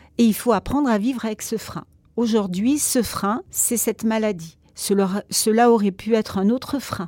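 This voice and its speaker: At a fairly slow pace, a woman speaks in a dark, mellow tone, fairly high in pitch, with ordinary pitch variation. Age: 60s. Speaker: psychologist. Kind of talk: casual chat.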